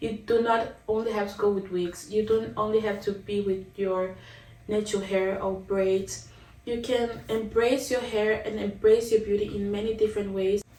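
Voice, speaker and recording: A speaker with a non-native accent talks at a moderate pace in a flat monotone, with audible room echo and noticeable background noise. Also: woman, medium pitch for a woman. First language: not English. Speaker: vlogger. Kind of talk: casual vlog monologue. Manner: conversational, with fillers and restarts.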